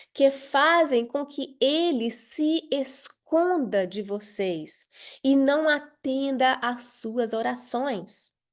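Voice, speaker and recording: A woman with a high pitch and lively intonation speaks at a very slow pace. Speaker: pastor leading women's devotional. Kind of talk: devotional teaching.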